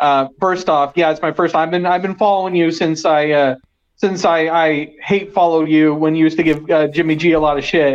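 A man uses a normal speaking voice at a fairly high pitch and a fairly quick pace. His intonation is fairly even, and his loudness stays very even. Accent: American. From East Bay, California. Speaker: caller. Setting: phone call.

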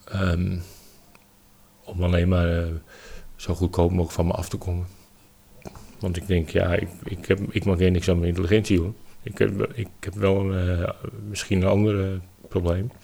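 Fairly even intonation and a moderate pace in a man's very deep, low voice. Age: 50s. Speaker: landscaping worker with dyslexia. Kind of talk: interview, personal story. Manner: halting, many hesitations.

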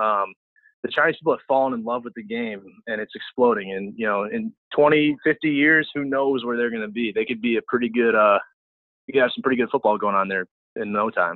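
Speaking fairly quickly in a normal speaking voice, a man with an American accent holds a medium pitch with ordinary pitch variation. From US Midwest, St. Louis. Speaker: college football offensive line coach. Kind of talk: casual chat.

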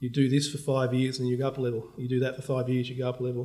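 Speaking at a very fast pace, a man with an Australian accent has a medium pitch. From Australia, Melbourne. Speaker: bank CEO. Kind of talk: interview.

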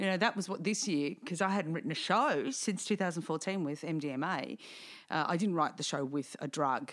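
In an Australian accent, a woman with a fairly low pitch speaks at a moderate pace with lively intonation on a very clean recording with a silent background. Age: 40s. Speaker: podcast host and singer-comedian. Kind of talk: casual chat.

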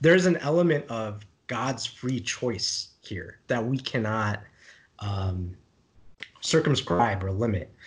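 Somewhat breathy and very slow, a man speaks with lively intonation and long, frequent pauses against a quiet background. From India (Kerala, Malayali). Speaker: theology discussion co-host. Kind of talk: casual book discussion.

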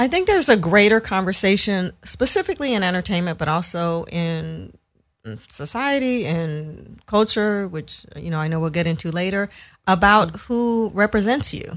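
The speaker talks at a moderate pace with lively intonation, in a very clean recording with a silent background. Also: woman, medium pitch for a woman. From San Francisco, US West Coast. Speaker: entertainment lawyer. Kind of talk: casual interview.

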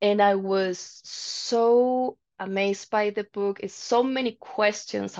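A woman with a Spanish accent speaks at a medium pitch with ordinary pitch variation against a quiet background. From Chile, Santiago. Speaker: metal singer. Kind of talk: interview.

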